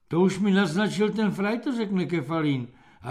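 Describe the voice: The pitch moves in an ordinary way across this plain reading aloud.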